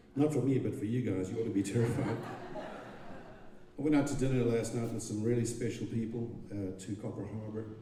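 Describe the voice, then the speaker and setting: Spoken at a moderate pace with a Zimbabwean accent and ordinary pitch variation. There is audible room echo and noticeable background noise. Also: man. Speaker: songwriter. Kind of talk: stage storytelling. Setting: stage with audience. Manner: halting.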